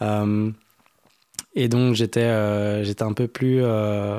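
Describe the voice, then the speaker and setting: A man speaks at a fairly low pitch with a dark, mellow tone. His intonation stays fairly even. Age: 20s. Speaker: musician and music producer. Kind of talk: interview. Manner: halting.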